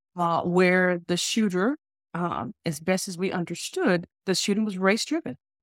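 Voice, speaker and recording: Heard as a dry, close sound with no echo, a woman speaks at a moderate pace and medium pitch with ordinary pitch variation in a normal speaking voice. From US South, Alabama. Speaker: diversity consultant and business executive. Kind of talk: interview conversation.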